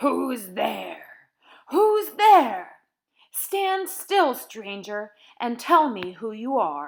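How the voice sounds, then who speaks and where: A woman speaks in a put-on character voice, growling at a high pitch. Her pace is very slow. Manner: menacing, demanding.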